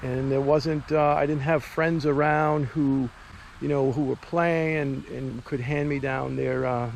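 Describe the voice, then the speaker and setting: Pitched fairly high, a man talks at a moderate pace with fairly even intonation. Noticeable background noise runs underneath. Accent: Boston. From US Northeast, Boston. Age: 50s. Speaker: amateur hockey goaltender and vlogger. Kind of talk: casual vlog talk. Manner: conversational with frequent fillers.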